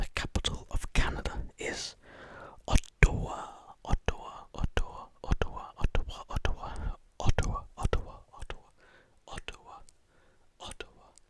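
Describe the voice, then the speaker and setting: Someone whispers with long, frequent pauses. Noticeable background noise runs underneath. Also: moderate pace. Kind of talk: ASMR whispered fact reading. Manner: close whisper.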